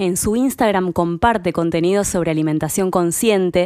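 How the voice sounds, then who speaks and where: The speaker is a woman with a Rioplatense accent. She talks at a moderate pace. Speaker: podcast host. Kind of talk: interview conversation; podcast intro. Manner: halting.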